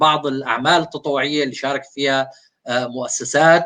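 A man's fairly high-pitched voice, bright and sharp in tone, with fairly even intonation. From Syria. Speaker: founder of a volunteering platform. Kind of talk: interview.

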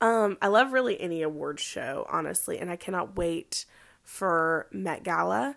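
In a very clean recording against a silent background, a woman keeps a moderate pace. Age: 20s. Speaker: podcast host and hairstylist. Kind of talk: casual monologue. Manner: casual, many fillers and laughs.

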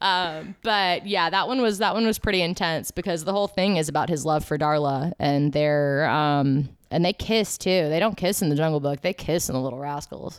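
A woman's plain, everyday voice, fairly low in pitch with ordinary pitch variation, at a moderate pace with hardly any pauses. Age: 20s. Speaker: podcast co-host. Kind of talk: casual chat.

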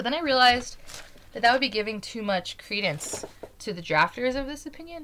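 Fast-ish, high-pitched speech from a woman with an American accent, very wide pitch swings, fairly quick pace and noticeable background noise. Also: big swings in loudness. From Utah. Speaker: podcast host. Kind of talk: political commentary monologue.

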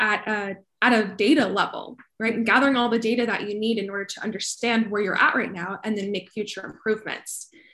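In an American accent, a woman with an unremarkable speaking voice talks at a fairly quick pace. Her pitch is fairly high, and the background is quiet. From Colorado, US. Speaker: sustainability professional. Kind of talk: interview.

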